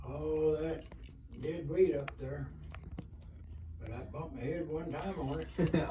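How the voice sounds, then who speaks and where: Speaking in an Appalachian accent, a man talks at a fairly slow pace with long, frequent pauses, amid audible room echo and noticeable background noise. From Kentucky. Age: 80s+. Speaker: elderly storyteller. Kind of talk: interview storytelling. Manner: halting.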